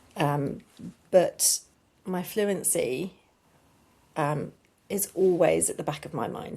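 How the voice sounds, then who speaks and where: A woman's voice has a dark, mellow tone and is somewhat breathy. Her pitch shows ordinary variation. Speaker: children's author and speech therapist. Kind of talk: interview. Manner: hesitant, many fillers.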